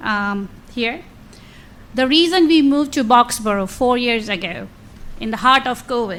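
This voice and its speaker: Loud and high-pitched, a woman speaks at a moderate pace. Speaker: resident at public meeting. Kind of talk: public comment, partly read from notes.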